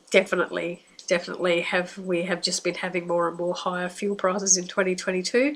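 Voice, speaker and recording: The speaker talks at a very fast pace with an Australian accent and fairly even intonation. Noticeable background noise runs underneath. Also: woman, medium pitch for a woman. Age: 60s. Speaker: psychic. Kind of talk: monologue. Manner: casual, hesitant.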